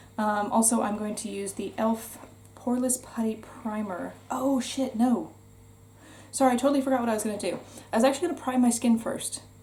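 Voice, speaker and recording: With a North American accent, a woman talks at a fairly quick pace in a plain, everyday voice and fairly even intonation. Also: fairly high pitch for a woman. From United States. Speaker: beauty vlogger. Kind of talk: casual chat. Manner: casual, chatty with fillers.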